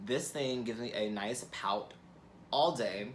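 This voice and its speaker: A man speaking at a fairly slow pace, with audible room echo. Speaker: beauty YouTuber. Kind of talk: product review vlog. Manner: casual, filler-heavy.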